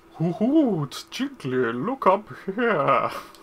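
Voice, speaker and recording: This is a put-on character voice with fairly high pitch. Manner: silly, stupid voice.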